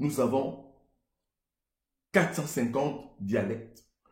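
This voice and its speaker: Speaking at a very slow pace with a Congolese accent, a man's dark, mellow, somewhat breathy voice carries audible room echo. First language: Lingala (speaking French). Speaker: entrepreneur and motivational speaker. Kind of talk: motivational monologue.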